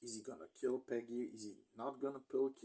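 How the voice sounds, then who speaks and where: Talking at a fairly slow pace, a man has a non-native accent. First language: not English. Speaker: movie reviewer. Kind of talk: casual movie review monologue. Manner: halting, stumbling over words.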